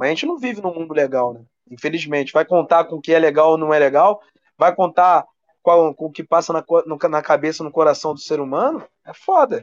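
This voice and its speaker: A man's fairly high, plain, everyday voice at a fairly quick pace, with ordinary pitch variation, big swings in loudness, and a dry, close sound with no echo. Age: 30s. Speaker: sports journalist. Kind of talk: casual chat.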